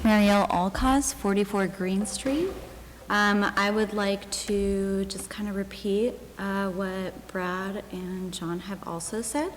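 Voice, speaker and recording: Very slowly and softly, a woman speaks at a medium pitch with fairly even intonation. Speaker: resident speaking at public comment. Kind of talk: public comment at town meeting. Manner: soft-spoken. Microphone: too quiet, hard to hear.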